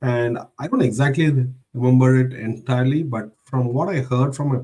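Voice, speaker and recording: A man's somewhat breathy voice of medium pitch, dark, mellow tone, ordinary pitch variation and moderate pace. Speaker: IT professional. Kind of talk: interview. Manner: halting.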